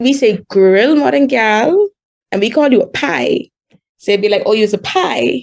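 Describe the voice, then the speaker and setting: A woman with a strong Bahamian accent talks at a fairly slow pace in a fairly high pitch. Her pitch swings very widely while her loudness stays very even. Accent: thick Bahamian. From Bahamas. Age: 20s. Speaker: podcast guest. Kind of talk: casual chat.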